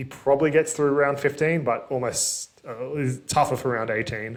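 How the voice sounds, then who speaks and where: With an Australian accent, a man speaks with fairly even intonation. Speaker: fantasy sports youtuber. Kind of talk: solo commentary video. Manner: fast; casual, filler-heavy.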